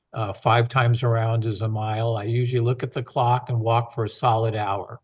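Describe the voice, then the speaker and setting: Against a quiet background, a man with a medium pitch speaks fairly quickly in a somewhat breathy, flat monotone. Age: 70s. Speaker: university president. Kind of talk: podcast interview. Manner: frequent fillers and restarts.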